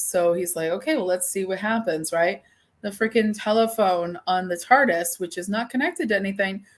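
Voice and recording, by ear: Ordinary pitch variation runs through this reading aloud in a natural voice.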